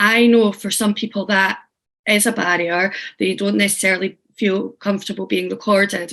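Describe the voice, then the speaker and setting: The voice has a strong Scottish accent and monotone, flat intonation. It moves at a moderate pace against a quiet background. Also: woman, medium pitch for a woman. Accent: thick Scottish. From Scotland. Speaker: teaching artist and workshop facilitator. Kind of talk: online workshop facilitation. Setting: video call. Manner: casual, friendly.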